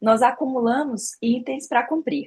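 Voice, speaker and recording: A woman talks in a high pitch. Her pitch variation is ordinary. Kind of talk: informal faith talk.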